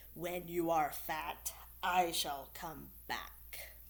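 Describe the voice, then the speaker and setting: Growling at a very slow pace, a woman uses a put-on character voice. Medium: read story.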